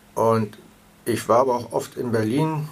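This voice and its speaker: Amid noticeable background noise, a man talks at medium pitch and a fairly slow pace. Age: 70s. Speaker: patient advocate. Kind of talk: interview.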